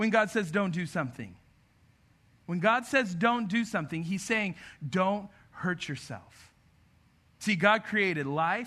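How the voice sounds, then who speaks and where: Against a quiet background, a man speaks in a raised, projected voice with a bright, sharp tone. His intonation is lively and his pace fairly slow. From grew up in a city, not local. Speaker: pastor. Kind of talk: sermon. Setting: church with audience.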